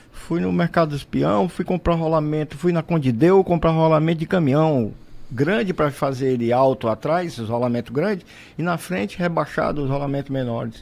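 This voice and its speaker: Fairly high in pitch, a man speaks at a moderate pace with lively intonation. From Brazil, Fortaleza, Ceará. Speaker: entrepreneur and inventor. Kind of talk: radio interview, storytelling. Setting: radio studio. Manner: animated.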